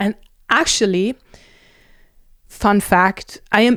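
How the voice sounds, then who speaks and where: The speaker is a woman. She has a German accent. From Germany. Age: 30s. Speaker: nutritionist. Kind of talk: casual vlog monologue.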